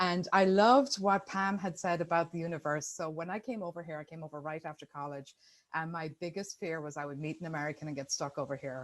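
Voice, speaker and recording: Someone with an Irish accent talks at a very fast pace on a very clean recording with a silent background. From Ireland. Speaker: business partnership expert. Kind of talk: presentation.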